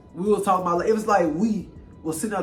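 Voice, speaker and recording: Over music in the background and audible room echo, a high-pitched man with an American accent speaks at a very fast pace. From Louisiana. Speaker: YouTuber. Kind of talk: casual chat.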